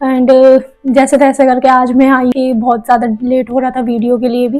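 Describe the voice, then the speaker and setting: A woman's high-pitched voice in a monotone, flat intonation at a moderate pace, with music in the background. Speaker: manifestation coach and YouTuber. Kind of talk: casual vlog talk to viewers.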